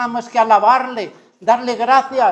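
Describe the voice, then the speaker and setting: A man talks at a moderate pace with an extremely high pitch and monotone, flat intonation. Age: 70s. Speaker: retired pastor, preacher. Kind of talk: sermon. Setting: church service with congregation.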